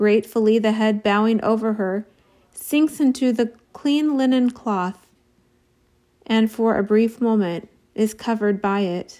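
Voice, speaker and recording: A woman speaks in a dark, mellow, solemn tone at a fairly high pitch, slowly and with long, frequent pauses. Her loudness stays very even, with ordinary pitch variation. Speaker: audiobook-style reader of devotional text. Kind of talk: dramatic narration, solemn devotional reading aloud. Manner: slow, solemn, reverent, with weighty pauses.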